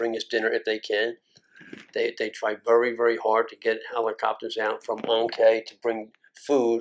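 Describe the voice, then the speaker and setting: A man with a Philadelphia accent, at a moderate pace. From North Philadelphia. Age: 70s. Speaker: Vietnam War combat veteran. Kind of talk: oral history interview answer.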